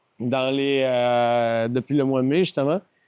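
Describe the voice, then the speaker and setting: The speaker has a Quebec accent. The sound is dry and close, with no echo. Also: man. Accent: Québécois French. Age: 40s. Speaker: company founder. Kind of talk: podcast interview.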